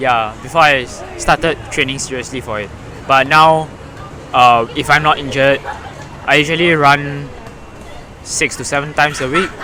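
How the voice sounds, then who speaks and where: Crowd noise fills the background. The speech runs at a moderate pace with fairly even intonation and long, frequent pauses. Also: man, fairly high pitch for a man. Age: 20s. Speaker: student runner. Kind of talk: podcast interview.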